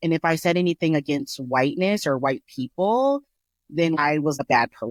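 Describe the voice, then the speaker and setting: A woman's very deep, low voice with a slight Colorado accent, at a moderate pace with lively intonation. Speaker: podcast co-host. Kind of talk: casual chat. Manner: careful enunciation.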